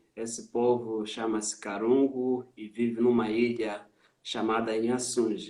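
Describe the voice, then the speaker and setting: A man with a Mozambican accent speaks at medium pitch and a fairly slow pace, his dark, mellow tone delivered in a monotone, flat intonation with big swings in loudness. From Mozambique. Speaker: missionary. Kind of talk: interview testimony on a live stream. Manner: hesitant with frequent fillers.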